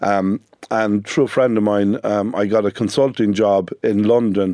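A man with a northwestern Irish accent speaks at a fairly low pitch. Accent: Irish (north-west). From Ireland, Sligo. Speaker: business owner. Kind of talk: radio interview.

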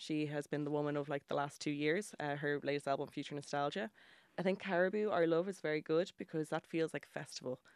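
In a Dublin accent, a woman speaks with a very deep, low pitch and fairly even intonation, the sound dry and close with no echo on a very clean recording with a silent background. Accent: Irish (Dublin). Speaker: journalist and music writer. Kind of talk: casual radio interview. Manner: chatty, laughing often.

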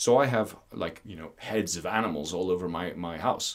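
With an Irish accent, a man speaks at a moderate pace in a fairly low pitch, his intonation lively. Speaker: landowner and rewilding advocate. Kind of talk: interview.

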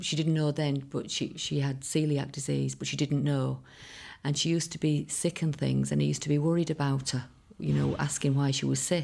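A woman with a Connemara accent talks at a fairly quick pace. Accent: Irish (Connemara). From Ireland, Connemara. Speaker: singer's daughter. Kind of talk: interview reminiscence.

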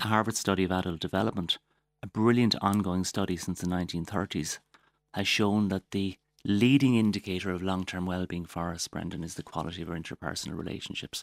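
A man with a Waterford accent talks at a very fast pace in a very deep, low voice. The recording is very clean with a silent background, and the sound is dry and close with no echo. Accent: Irish, Waterford. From Waterford, Ireland. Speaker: doctor and wellness advocate. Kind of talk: casual interview.

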